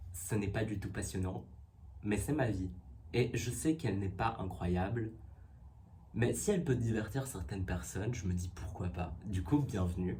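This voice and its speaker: A man with a very deep, low, dark and mellow voice speaks fairly slowly with vocal fry and lively intonation. Long, frequent pauses break his speech, and the room echo is audible. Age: 20s. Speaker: YouTuber / vlogger. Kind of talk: casual vlog talk. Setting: home setup with ring light.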